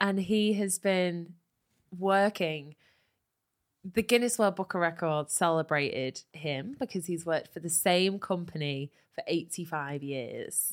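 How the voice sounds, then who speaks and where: On a very clean recording with a silent background, a woman talks at a fairly slow pace. She has an ordinary speaking voice, fairly low in pitch, with ordinary pitch variation. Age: 20s. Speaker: comedy podcast host. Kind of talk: casual comedy banter with role play.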